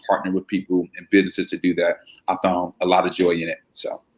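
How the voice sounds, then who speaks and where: In an American accent, a man talks at a very fast pace with a very deep, low pitch. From Chicago, South Side. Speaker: brand marketing agency founder. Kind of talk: interview. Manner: hesitant, many fillers and repeats.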